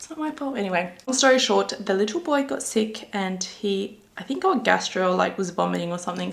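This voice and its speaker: A woman with an Australian accent at a fairly quick pace, medium in pitch with ordinary variation, against noticeable background noise. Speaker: beauty vlogger. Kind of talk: makeup tutorial chat. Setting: filming at home. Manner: casual chatty.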